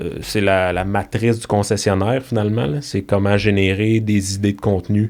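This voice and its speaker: A man with a Quebec accent speaks at a moderate pace with hardly any pauses. His intonation is fairly even, and the recording is very clean with a silent background. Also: fairly low pitch for a man. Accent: Québécois French. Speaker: digital marketing consultant. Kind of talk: podcast interview. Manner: casual, hesitant with repetitions.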